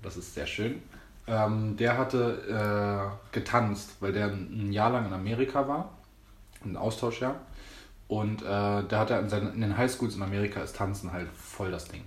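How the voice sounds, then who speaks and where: The voice is somewhat breathy, with fairly even intonation at a moderate pace. Audible room echo surrounds it. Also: man, fairly low pitch for a man. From Berlin, Germany. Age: 20s. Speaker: dancer and choreographer. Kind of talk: casual chat.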